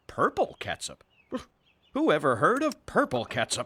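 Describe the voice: A cartoonish character voice at a moderate pace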